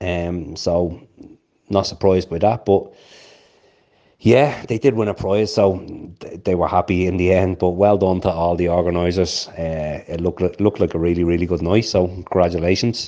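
A man talks at a moderate pace with a very deep, low pitch and a dark, mellow tone. His intonation stays fairly even. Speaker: caller. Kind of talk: casual chat.

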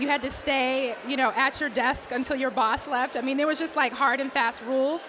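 High-pitched woman with an American accent at a moderate pace, with noticeable background noise. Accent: Boston accent, drops R's when upset. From Boston, US. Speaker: diversity executive, conference founder. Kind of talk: interview conversation.

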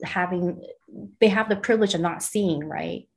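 In a Californian accent, a woman speaks at a fairly low pitch. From US West Coast (Los Angeles, San Pedro). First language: Mandarin. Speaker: artist and art director. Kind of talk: casual interview.

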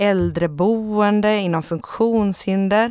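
The speech moves at a very slow pace with ordinary pitch variation, on a very clean recording with a silent background. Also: woman. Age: 30s. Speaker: left-wing party official. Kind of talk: interview.

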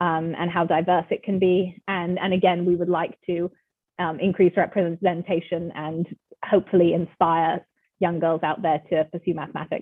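Spoken at a moderate pace with an American accent, the voice keeps a monotone, flat intonation. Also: woman, fairly low pitch for a woman. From England, later California. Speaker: applied mathematician. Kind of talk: interview.

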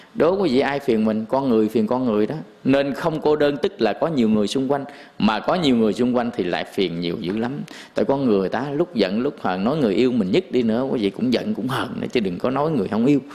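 A man speaks fairly quickly at a medium pitch in a normal speaking voice. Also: lively intonation. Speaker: Buddhist monk giving a dharma talk. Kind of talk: sermon. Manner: casual, conversational.

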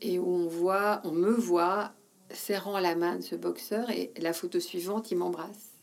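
Speaking very slowly, a woman keeps a fairly low pitch and fairly even intonation. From Belgium, Wallonia (between Charleroi and Namur). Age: 50s. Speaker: former magazine editor and women's network founder. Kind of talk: interview conversation.

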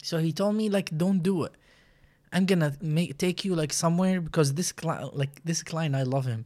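In a very clean recording with a silent background, a man with a high pitch and a dark, mellow tone talks at a moderate pace with ordinary pitch variation. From Iraq. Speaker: barber. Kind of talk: casual chat.

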